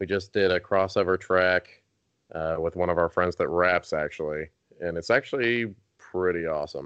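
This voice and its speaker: A man speaks in a strong Southern US accent with a very deep, low pitch. His pace is moderate and his intonation fairly even. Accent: thick Southern US. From North Carolina, US South. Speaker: rock band singer. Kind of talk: casual interview chat.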